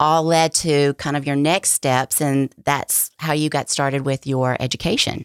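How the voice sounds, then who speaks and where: On a very clean recording with a silent background and a dry, close sound with no echo, a woman speaks at a very deep, low pitch with fairly even intonation and very even loudness. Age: 50s. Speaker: health and wellness podcast co-host. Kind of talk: casual chat.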